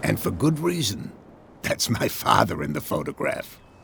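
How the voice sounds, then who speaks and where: A man uses a put-on character voice that is raspy. He goes at a moderate pace. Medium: video game. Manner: gruff, guarded.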